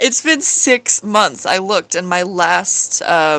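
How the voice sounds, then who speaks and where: A woman's fairly low voice with a bright, sharp tone at a fairly slow pace. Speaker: streamer drawing live. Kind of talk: casual live-stream chat while drawing. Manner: hesitant, many fillers and restarts.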